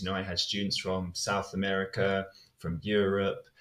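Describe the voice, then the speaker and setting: A man with a British accent talks at a moderate pace. His voice is somewhat breathy. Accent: English (UK). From southern England, Hampshire. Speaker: English teacher. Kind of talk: podcast interview.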